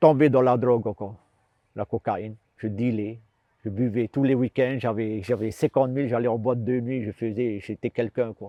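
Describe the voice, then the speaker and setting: A man speaks at a moderate pace and medium pitch with fairly even intonation. His loudness swings widely. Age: 60s. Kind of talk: testimony. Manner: halting, repetitive.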